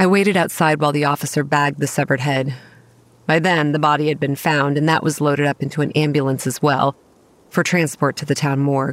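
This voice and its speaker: A woman's very deep, low voice, very fast and in a monotone, flat intonation. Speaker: voice actress playing narrator Kate. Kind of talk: horror fiction narration. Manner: hushed, brooding first-person storytelling, grave and measured, with dread building.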